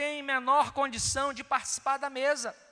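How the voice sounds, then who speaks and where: A man's raised, projected voice, extremely high in pitch, with a Brazilian accent. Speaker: preacher. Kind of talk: sermon on communion, Bible reading, exhortation. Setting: church. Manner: earnest, pastoral, rhetorical repetition; formal, measured, direct address to congregation.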